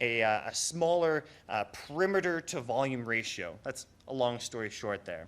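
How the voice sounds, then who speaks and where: A man's medium-pitched voice with lively intonation at a moderate pace, on a very clean recording with a silent background. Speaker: conservation researcher giving a public talk. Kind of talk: public lecture. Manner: hesitant, many fillers.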